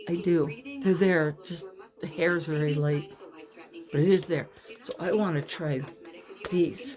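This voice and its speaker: Fairly slow, lively speech from a woman with a fairly low pitch, marked by long, frequent pauses and noticeable background noise. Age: 50s. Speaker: former model, author. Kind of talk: makeup tutorial talk to camera. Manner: casual, chatty.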